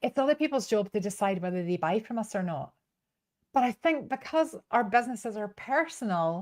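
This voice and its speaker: In a strong Northern Irish accent, the speaker moves at a fairly quick pace through very wide pitch swings, with a dry, close sound and no echo. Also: woman, fairly high pitch for a woman. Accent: Northern Irish, still strong. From Northern Ireland, Belfast. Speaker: business coach and trainer. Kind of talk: online masterclass. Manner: animated.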